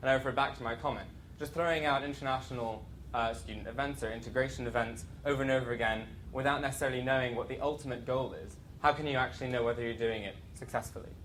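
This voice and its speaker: At a very fast pace, a man of medium pitch talks with fairly even intonation amid audible room echo. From outside UK, US, Canada and Ireland. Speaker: students' union president. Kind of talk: conference talk. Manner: hesitant, many fillers.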